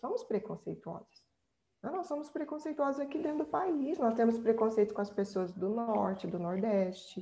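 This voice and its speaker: A woman with a Brazilian accent, fairly high pitch and very wide pitch swings, at a moderate pace. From central Brazil. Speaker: researcher and speaker on migration. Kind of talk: workshop presentation, answering questions.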